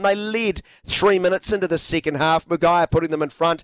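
Excited in tone, a man speaks at a high pitch with a dry, close sound and no echo. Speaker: sports commentator. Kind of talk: live sports commentary. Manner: excited, rising urgency on goals, rapid-fire call.

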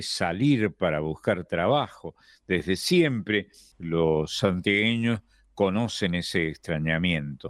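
With an Argentine accent, a man speaks in a very deep, low pitch with ordinary pitch variation. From Argentina, not the litoral. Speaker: radio host. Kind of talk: radio conversation.

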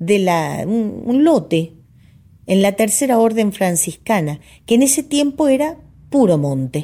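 A woman's medium-pitched, somewhat breathy voice, dark and mellow in tone, with very wide pitch swings and a very slow pace, on a very clean recording with a silent background. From Argentina. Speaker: radio host and folk singer. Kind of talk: reading aloud.

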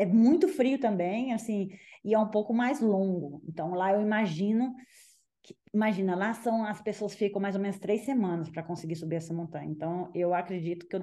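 A woman speaks at a moderate pace and a medium pitch with ordinary pitch variation. Her tone is dark and mellow, and the background is quiet. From Minas Gerais, Brazil (Belo Horizonte). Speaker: ultramarathon runner. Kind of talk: casual interview.

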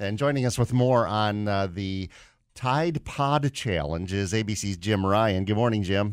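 A man speaks in a plain, everyday voice at a fairly slow pace and fairly low pitch with ordinary variation, in a very clean recording with a silent background. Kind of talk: news reading, brisk headline-style world news bulletin. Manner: crisp, steady, formal newsreader delivery; brisk, concise.

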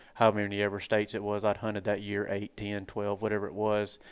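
The background is quiet. The speech comes at a very fast pace. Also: man. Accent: Southern US. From US South. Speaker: turkey hunter and online show host. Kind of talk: casual interview chat. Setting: hunting convention.

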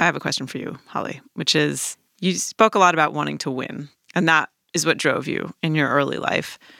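On a very clean recording with a silent background, a woman with a very deep, low pitch speaks at a fairly quick pace, her tone bright and sharp, with vocal fry and ordinary pitch variation. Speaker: magazine editor and podcast host. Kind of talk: interview with narration.

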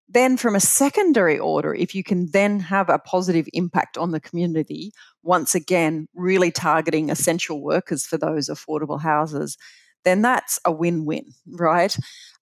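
A woman with an Australian accent, fairly low-pitched, at a moderate pace with ordinary pitch variation and a dry, close sound with no echo. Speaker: pension fund chief executive. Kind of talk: interview. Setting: remote call.

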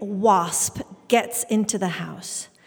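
Noticeable background noise accompanies a woman speaking with a British accent. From England, Indian family. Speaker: storyteller. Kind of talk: live storytelling on stage, present-tense childhood memoir. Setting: stage with audience in a church.

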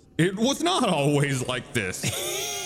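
A man uses a put-on character voice. His pitch sits fairly high. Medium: actual play. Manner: slow, knowing, slightly teasing.

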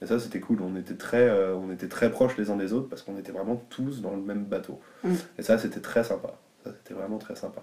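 Here a man talks at a fairly quick pace with a fairly low pitch and ordinary pitch variation. His loudness swings widely. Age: 20s. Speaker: DJ and music teacher. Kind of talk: casual interview. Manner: hesitant, many fillers.

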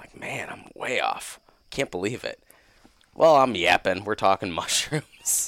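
At a fairly slow pace, a man with a normal speaking voice talks at a medium pitch with lively intonation. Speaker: guest, hunter and new mushroom forager. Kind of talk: casual chat.

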